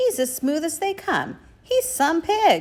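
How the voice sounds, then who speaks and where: A put-on character voice, squeaky and extremely high, at a fairly slow pace. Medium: read story. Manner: agreeable, low-key.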